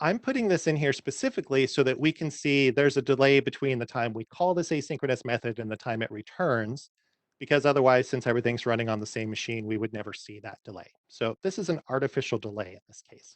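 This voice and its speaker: A man talks at a very fast pace with medium pitch and ordinary pitch variation. His loudness swings widely. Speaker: software developer giving a technical talk. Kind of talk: technical presentation with live coding.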